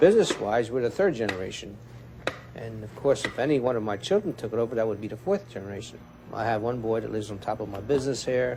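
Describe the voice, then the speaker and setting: A man at a very fast pace, with big swings in loudness and noticeable background noise. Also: medium pitch for a man, ordinary pitch variation. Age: 60s. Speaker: butcher shop owner. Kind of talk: documentary interview.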